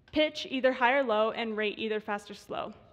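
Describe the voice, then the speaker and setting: Against a quiet background, a woman with a fairly high pitch talks at a fairly quick pace. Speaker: graduate student researcher. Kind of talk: short conference talk. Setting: stage with audience. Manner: fast.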